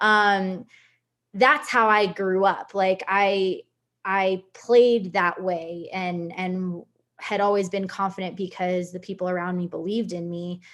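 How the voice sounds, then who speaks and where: In a plain, everyday voice, a woman talks at a fairly slow pace with medium pitch and fairly even intonation. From US Northeast, Connecticut (Puerto Rican family). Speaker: soccer player. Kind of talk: personal story in a leadership talk.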